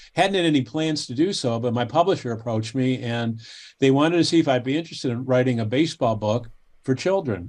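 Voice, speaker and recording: Against a quiet background, a man with an American accent talks at a fairly quick pace. His pitch is medium and his intonation lively. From Cleveland, Ohio, US. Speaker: baseball history author. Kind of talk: casual interview chat. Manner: halting, frequent repetitions.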